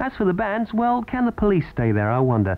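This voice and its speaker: A man speaks at a moderate pace in an upbeat tone. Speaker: radio DJ. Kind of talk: radio DJ links. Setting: radio studio.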